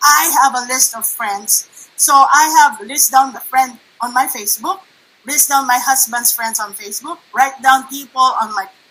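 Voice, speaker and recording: A high-pitched woman's raised, projected voice at a fairly slow pace. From Philippines (Manila). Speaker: network marketing presenter. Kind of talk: online workshop presentation. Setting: livestream.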